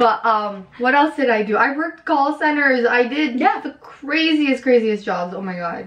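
A woman's high voice with very wide pitch swings, moderate pace and hardly any pauses, over noticeable background noise. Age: 20s. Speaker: author. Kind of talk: casual chat.

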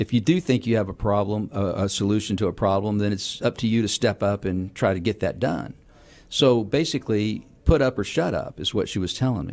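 Here a man with a Texan accent speaks at a fairly low pitch and a fairly quick pace, with ordinary pitch variation. The recording is very clean, with a silent background. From Houston, Texas. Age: 60s. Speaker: city council member. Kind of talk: radio interview.

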